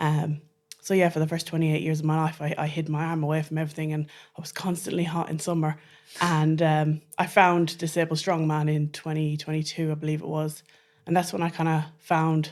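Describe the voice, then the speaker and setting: A woman with an Irish accent, a very deep, low pitch, fairly even intonation and a fairly quick pace, on a very clean recording with a silent background. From Ireland. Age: 30s. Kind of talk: interview conversation.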